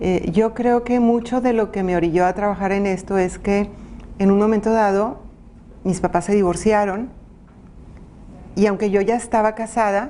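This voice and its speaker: A woman's medium-pitched voice has a dark, mellow tone, ordinary pitch variation and a fairly slow pace. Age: 60s. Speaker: women's advocate and former city councillor. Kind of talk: interview.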